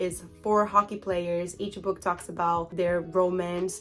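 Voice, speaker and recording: With a Portuguese accent, a woman speaks at a medium pitch in an upbeat tone while music plays in the background. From Brazil. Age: 20s. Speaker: book vlogger. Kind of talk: casual talk to camera.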